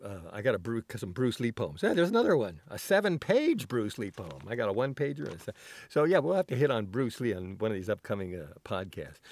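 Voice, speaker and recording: In a very clean recording with a silent background, a man speaks at a fairly quick pace with very wide pitch swings. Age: 60s. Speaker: solo podcaster. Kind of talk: casual monologue. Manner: halting, many fillers.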